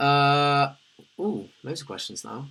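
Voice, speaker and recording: A man speaks at medium pitch with a British accent. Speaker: livestreamer. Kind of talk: casual livestream chat reading comments.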